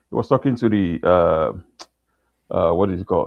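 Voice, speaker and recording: A man with a non-native accent. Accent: foreign. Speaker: caller. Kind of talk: heated debate. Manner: halting.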